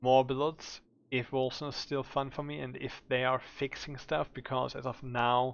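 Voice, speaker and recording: Someone talks with a German accent. The pace is moderate. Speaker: gaming streamer. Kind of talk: game build tutorial. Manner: casual with filler words.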